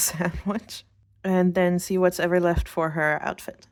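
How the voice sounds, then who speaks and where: A woman speaks softly at a fairly slow pace in a fairly low, monotone voice with flat intonation, on a very clean recording with a silent background. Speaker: art youtuber. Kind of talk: casual drawing commentary. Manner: soft-spoken.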